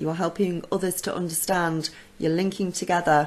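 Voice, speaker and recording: A husky woman with a fairly low pitch talks at a moderate pace. Her intonation is monotone and flat. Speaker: psychic channel host. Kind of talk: casual Q&A talk to camera. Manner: hesitant, many ums.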